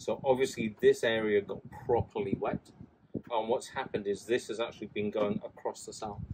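This man talks at a moderate pace with a fairly low pitch, fairly even intonation, a slightly mellow tone and a slightly husky edge.

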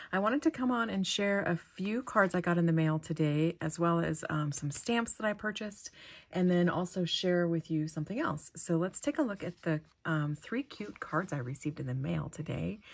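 Somewhat breathy, a woman's voice rises and falls with lively intonation. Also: fairly low pitch for a woman, moderate pace. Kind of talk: casual vlog chat. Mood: warm, delighted. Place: home room.

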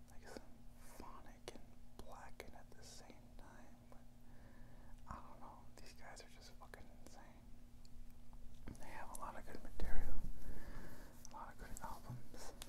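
A man whispers in a gentle tone at a fairly slow pace, with long, frequent pauses. His loudness swings widely over noticeable background noise. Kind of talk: ASMR show-and-tell to camera. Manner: gentle, whispering.

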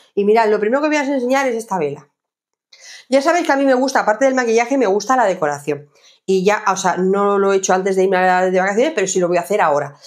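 A woman talks at a very fast pace with lively intonation. Her loudness stays very even against a quiet background. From Jaén, Andalusia, Spain. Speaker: lifestyle vlogger. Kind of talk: casual haul video monologue. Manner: hesitant, many fillers. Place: home room.

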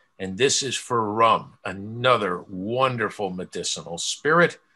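The voice has a bright, sharp tone and an American accent. Its intonation is lively and its pace moderate. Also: man. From Pennsylvania (Poconos area). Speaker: stamp collector and lecturer. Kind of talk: lecture. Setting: video call. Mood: amused, conversational. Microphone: webcam.

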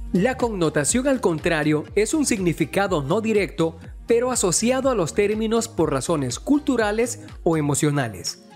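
A high-pitched male voice at a fairly slow pace, with very wide pitch swings and music in the background. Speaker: voice-over narrator. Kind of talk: educational explainer narration.

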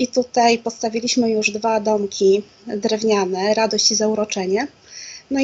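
In a flat, monotone delivery, a woman talks at a moderate speed. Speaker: interview guest, guest. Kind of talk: interview answer. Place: home room. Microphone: video call.

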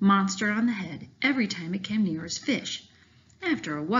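The reading voice sounds unforced, and its intonation is lively.

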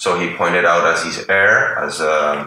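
Audible room echo around a male voice, plus light background noise. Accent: Spanish. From Venezuela. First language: Spanish. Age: 40s. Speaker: artist and political analyst. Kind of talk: interview. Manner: halting. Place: home room.

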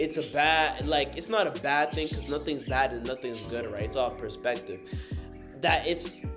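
A man talks while clear music sounds behind him. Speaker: vlogger. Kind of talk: casual vlog chat. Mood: thoughtful, casual.

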